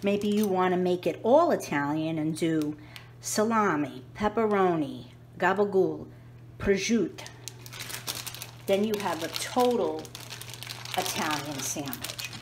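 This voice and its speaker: With a New York accent, a woman talks at a fairly slow pace with lively intonation and long, frequent pauses, over noticeable background noise and audible room echo. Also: medium pitch for a woman. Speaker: home cooking youtuber. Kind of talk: cooking tutorial. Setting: home kitchen. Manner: casual, chatty.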